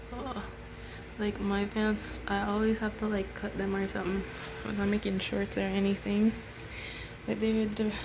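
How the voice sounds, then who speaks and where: Fairly slow speech from a woman, amid noticeable background noise and audible room echo. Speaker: sewing vlogger. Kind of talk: casual vlog narration.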